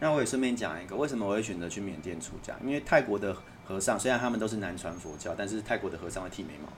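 A man with a Taiwanese accent and a fairly low pitch rushes along at a very fast pace with hardly any pauses and lively intonation, with audible room echo around him. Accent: Taiwanese Mandarin. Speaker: author. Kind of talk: casual chat.

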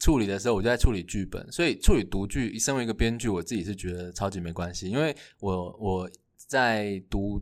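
Speaking at a fairly quick pace with a Taiwanese accent, a man with a fairly low pitch is heard on a very clean recording with a silent background. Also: ordinary pitch variation. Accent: Taiwanese Mandarin. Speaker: playwright and university lecturer. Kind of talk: casual chat.

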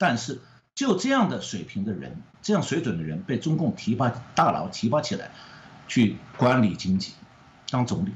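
Vocal fry at a moderate pace, with very wide pitch swings and long, frequent pauses. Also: man, medium pitch for a man. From mainland China. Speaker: economist. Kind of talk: interview.

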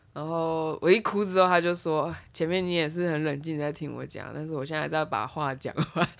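Fairly even intonation comes at a fairly quick pace on a very clean recording with a silent background. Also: woman, very deep, low pitch for a woman. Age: 30s. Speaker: podcast co-host. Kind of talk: casual chat.

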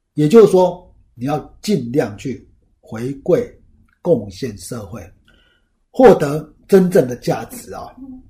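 Very slowly, with long, frequent pauses, a man speaks in a fairly high, dark, mellow voice with vocal fry, very wide pitch swings and big swings in loudness. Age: 50s. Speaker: finance podcast host, former lecturer. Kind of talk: solo talk, book review. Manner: casual with many filler particles.

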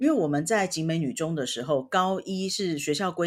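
This woman has an ordinary speaking voice pitched fairly low and keeps a moderate pace. The recording is very clean, with a silent background. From Taiwan, Taipei. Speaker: podcast co-host, language learner. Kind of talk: casual chat.

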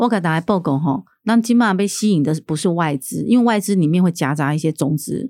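Lively intonation and a dark, mellow tone come at a fairly quick pace in a very clean recording with a silent background and a dry, close sound with no echo. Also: woman, fairly low pitch for a woman. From Taiwan, Keelung (Nuannuan). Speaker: city councillor and candidate. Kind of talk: political interview.

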